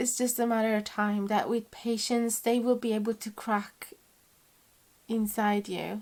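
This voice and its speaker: With a non-native accent, a woman speaks at a fairly slow pace in a fairly high pitch, her intonation monotone and flat. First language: not English. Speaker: tarot reader. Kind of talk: tarot reading to camera. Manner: warm, conversational.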